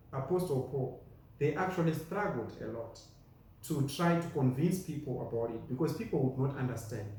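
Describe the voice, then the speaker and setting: Speaking at a moderate pace with a Zimbabwean accent, a man shows ordinary pitch variation in a room with an audible echo. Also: fairly high pitch for a man. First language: Shona. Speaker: preacher. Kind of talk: sermon.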